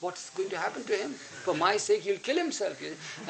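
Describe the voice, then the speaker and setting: A man speaks at a fairly quick pace with ordinary pitch variation. Noticeable background noise is present. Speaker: spiritual disciple recounting memories. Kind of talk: storytelling to an audience. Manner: halting.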